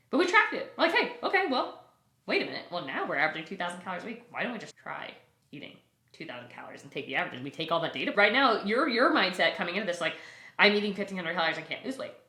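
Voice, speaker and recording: A woman talks very fast at a medium pitch with very wide pitch swings. Audible room echo surrounds her voice. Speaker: nutrition coach, founder of a nutrition company. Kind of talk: podcast interview.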